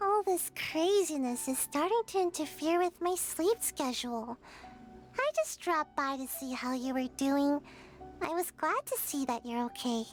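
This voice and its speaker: A put-on character voice with a high pitch moves at a moderate pace over clear music in the background. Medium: video game. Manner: hesitant, stammering, sighing.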